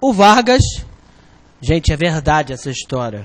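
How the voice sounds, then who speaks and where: A man speaks with a Rio de Janeiro accent. His intonation is lively. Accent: carioca. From Rio de Janeiro, Brazil. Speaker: exam prep teacher. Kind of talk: online lecture. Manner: animated.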